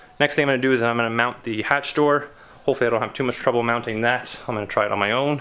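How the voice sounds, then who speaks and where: A man with a Canadian accent at a medium pitch, fairly even in intonation, at a very fast pace. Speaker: car DIY video maker. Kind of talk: casual vlog narration.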